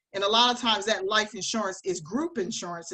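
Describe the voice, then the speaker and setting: With an American accent, a woman talks in a bright, sharp tone. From Delaware, US. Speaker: financial advisor. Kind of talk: webinar presentation. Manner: fast.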